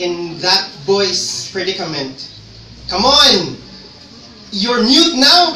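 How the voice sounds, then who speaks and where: A man's raised, projected voice, high-pitched with lively intonation, over noticeable background noise. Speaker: spoken word poet, teacher. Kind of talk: spoken word poetry performance.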